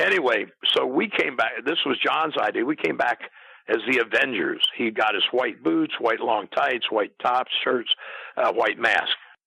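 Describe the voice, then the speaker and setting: A man speaking at a moderate pace. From US Midwest. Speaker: retired pro wrestler and wrestling announcer. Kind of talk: interview. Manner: halting.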